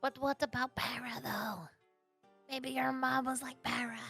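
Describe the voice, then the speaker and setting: A woman uses a high-pitched, put-on character voice at a moderate pace, with faint music in the background. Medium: actual play.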